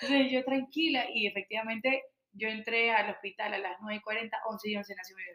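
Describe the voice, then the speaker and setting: A woman's normal speaking voice, fairly high-pitched with ordinary pitch variation, moderate pace and big swings in loudness. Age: 30s. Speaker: water product entrepreneur. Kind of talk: casual interview chat.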